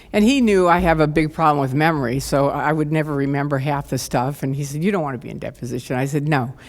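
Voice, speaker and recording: Talking at a very fast pace with hardly any pauses, a woman with an American accent uses a very deep, low pitch and ordinary pitch variation, with audible room echo around her. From US Midwest, Chicago suburbs. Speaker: former cult member. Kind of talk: conference talk. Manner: animated.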